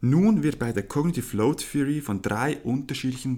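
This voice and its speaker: This is a man with an unremarkable speaking voice, talking at a moderate pace with ordinary pitch variation. The recording is very clean, with a silent background. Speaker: podcast host, sports student. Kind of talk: scripted explanation; casual chat.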